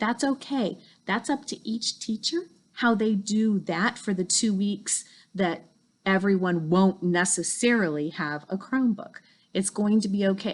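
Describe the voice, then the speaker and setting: At a fairly slow pace, a woman speaks in a somewhat breathy voice at a medium pitch with ordinary pitch variation. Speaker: school principal. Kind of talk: school video tour. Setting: school campus, indoors.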